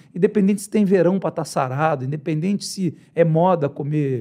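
Against a quiet background, a man with a dark, mellow tone speaks at a fairly quick pace with lively intonation. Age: 50s. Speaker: former MMA trainer. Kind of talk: casual podcast interview. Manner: animated. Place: studio. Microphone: studio mic.

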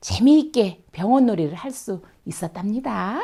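Music plays behind a woman whose fairly high voice, gentle in tone, moves with lively intonation at a fairly slow pace. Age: old. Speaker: children's storyteller. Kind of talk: read story for children. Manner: gentle, friendly.

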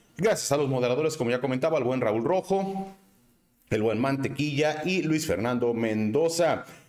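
A man's medium-pitched, sing-song voice with a Guadalajara accent, lively intonation, a slightly mellow tone and a moderate pace. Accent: Mexican, Guadalajara sing-song.

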